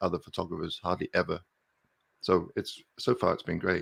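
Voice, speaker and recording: Against a quiet background, a man talks with a slight English accent. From southern England, Milton Keynes. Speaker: landscape photographer and YouTuber. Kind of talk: casual interview on a live stream. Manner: hesitant, many fillers.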